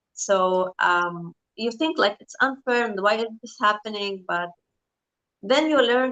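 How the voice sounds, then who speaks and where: Fairly high-pitched female voice with a bright, sharp tone. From Lebanon. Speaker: interview guest. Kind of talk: interview conversation.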